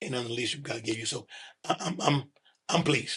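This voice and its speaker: The speaker has an American accent. The intonation stays fairly even. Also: man. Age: 60s. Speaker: retired pastor and bishop. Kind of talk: casual interview. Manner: halting, repeats words.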